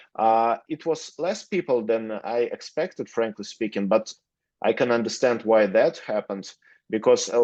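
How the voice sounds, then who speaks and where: Against a quiet background, a man with a Russian accent speaks at a moderate pace and medium pitch, with ordinary pitch variation. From Russia, Moscow. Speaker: lawyer. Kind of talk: interview. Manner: halting, many fillers.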